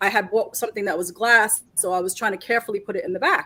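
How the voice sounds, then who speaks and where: The speech comes at a very fast pace. It is delivered in a New York accent. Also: woman. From New York City (Queens and Brooklyn), Puerto Rican family. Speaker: reseller. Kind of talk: live stream chat.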